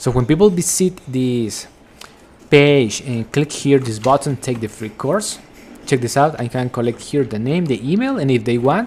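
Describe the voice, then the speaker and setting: A man with a Spanish accent, medium pitch, ordinary pitch variation and a moderate pace. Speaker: affiliate marketing vlogger. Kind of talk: screen-share tutorial. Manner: casual, repetitive with filler words.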